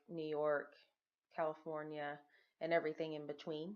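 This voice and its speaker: A woman talks at a moderate pace in a Southern accent. Her pitch is very deep and low. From Texas Gulf Coast, Lake Jackson. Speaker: former teacher, stay-at-home mother. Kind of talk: reading aloud. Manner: formal.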